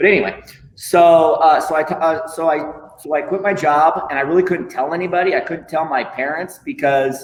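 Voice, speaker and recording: A man with an American accent and a fairly high pitch speaks at a moderate pace amid audible room echo and noticeable background noise. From Iowa. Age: 40s. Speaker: lego artist. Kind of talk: casual interview. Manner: animated.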